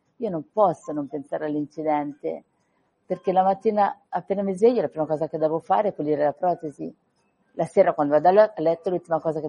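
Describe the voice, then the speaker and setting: A woman with a fairly low pitch speaks at a very fast pace with ordinary pitch variation. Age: 40s. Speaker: author of a memoir about surviving an accident. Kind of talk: radio interview.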